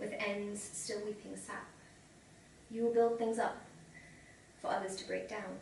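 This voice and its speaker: A woman speaks in fairly even intonation with noticeable background noise behind her. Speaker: short story writer. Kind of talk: short story reading. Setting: live reading event.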